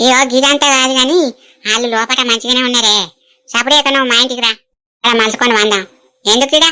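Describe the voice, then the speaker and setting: A woman uses a cartoonish character voice with a high pitch and fairly even intonation. Her pace is moderate and her loudness very even. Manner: prying, teasing, chatty.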